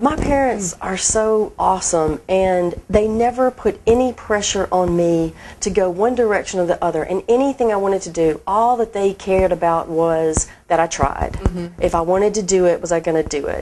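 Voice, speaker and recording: With a Southern US accent, a woman speaks at a moderate pace and medium pitch in a dark, mellow tone, with ordinary pitch variation. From Mississippi, USA. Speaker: marketing director. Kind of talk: interview answer.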